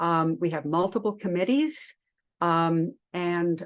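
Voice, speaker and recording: Against a quiet background, a woman talks at a fairly low pitch with ordinary pitch variation. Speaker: behavioral health policy advocate. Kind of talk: meeting presentation. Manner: fast; halting, many fillers.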